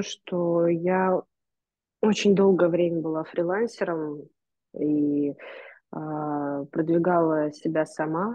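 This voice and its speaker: A woman's fairly low voice at a very slow pace, with long, frequent pauses, ordinary pitch variation, a quiet background and a dry sound with no echo. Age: 20s. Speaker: gallery curator and photographer; podcast guest. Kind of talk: interview conversation. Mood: calm, thoughtful. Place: home room. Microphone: video call.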